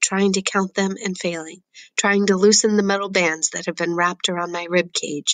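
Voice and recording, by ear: The clip is read aloud. It comes in a natural voice.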